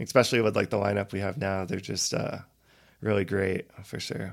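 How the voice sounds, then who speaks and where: With an American accent, a man speaks at a moderate pace with vocal fry. The recording is very clean, with a silent background. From Colorado, Loveland. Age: 30s. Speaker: reggae singer and songwriter. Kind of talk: casual chat.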